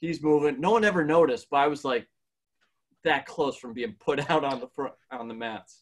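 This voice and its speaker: Here is a man with an ordinary speaking voice, fairly high in pitch, at a moderate pace. His intonation is lively and his loudness swings widely. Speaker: podcast co-host. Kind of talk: casual interview chat.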